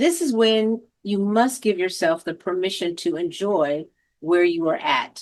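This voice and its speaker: An unremarkable speaking voice from a woman, medium in pitch, at a fairly slow pace with lively intonation, over a quiet background. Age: 60s. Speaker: senior advocate. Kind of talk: reflective monologue.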